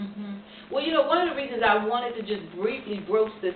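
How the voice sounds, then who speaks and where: Light background noise sits under the voice, with audible room echo. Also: woman. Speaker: interviewer. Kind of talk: interview questions. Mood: warm, earnest, appreciative. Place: home room. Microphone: camera far.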